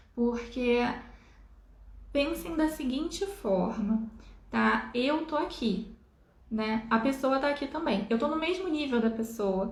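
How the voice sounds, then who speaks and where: A woman speaks at a high pitch and a very slow pace, leaving long, frequent pauses. Her intonation is lively, and the room echo is audible. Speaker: spiritual healer. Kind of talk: live stream talk. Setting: live stream.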